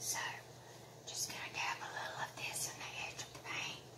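A woman whispers at a moderate pace. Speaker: craft tutor. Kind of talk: crafting tutorial talk to camera. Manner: whispered. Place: home room. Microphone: phone near.

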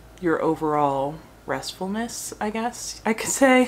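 Light background noise sits under a woman's voice. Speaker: food blogger. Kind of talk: casual vlog chat. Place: home room. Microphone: phone near.

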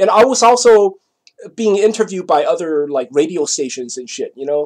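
This man's pitch sits high and swings very widely, his loudness rising and falling sharply. He keeps a moderate pace over a quiet background. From Taiwan. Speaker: vlogger; vlogger telling a personal story. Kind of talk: casual monologue; casual vlog chat. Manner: halting. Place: home room. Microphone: webcam.

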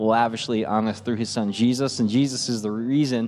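A man is speaking. Faint music plays behind him. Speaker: pastoral staff worship leader. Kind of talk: church welcome address. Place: church. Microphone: studio mic.

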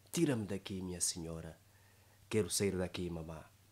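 A man with ordinary pitch variation. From Angola. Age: 20s. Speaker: poet and declaimer. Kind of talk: poetry reading. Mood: dramatic, sorrowful recitation. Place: studio. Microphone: studio mic.

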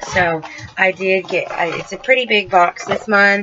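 Noticeable background noise sits behind a woman's fairly low voice. Her intonation stays fairly even. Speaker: unboxing video host. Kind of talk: casual unboxing review.

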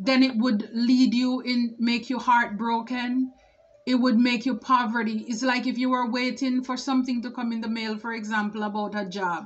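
Using monotone, flat intonation, a woman speaks at a moderate pace in a high pitch. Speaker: tarot reader. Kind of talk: tarot reading commentary. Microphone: phone near.

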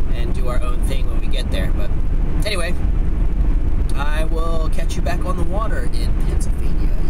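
A man talks at a moderate pace. The sound is dry with no echo, under loud background noise. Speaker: fishing vlogger. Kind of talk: casual vlog chat. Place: car. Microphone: phone near.

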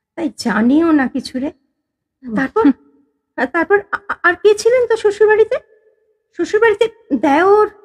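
At a moderate pace, a woman speaks in an extremely high voice with very wide pitch swings, the sound dry and close with no echo. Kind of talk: audio drama.

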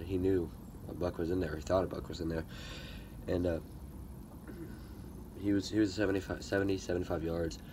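Amid noticeable background noise, a man with a very deep, low pitch speaks at a moderate pace, somewhat breathy and monotone, with flat intonation. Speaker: hunting vlogger. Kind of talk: casual vlog chat. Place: open country. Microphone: phone near.

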